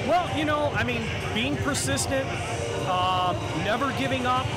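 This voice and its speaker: Loud music fills the background. Over it, a man speaks at a moderate pace. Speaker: ring announcer. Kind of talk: interview answer. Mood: grateful, warm. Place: stadium.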